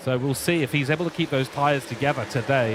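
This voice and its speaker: Fairly quick speech from a man, noticeable background noise behind it. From England. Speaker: motorsport commentator. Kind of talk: live commentary. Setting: commentary box. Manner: animated.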